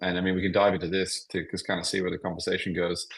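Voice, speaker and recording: This is a man talking. He has an Australian accent. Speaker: tech founder. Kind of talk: podcast interview. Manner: halting, many fillers.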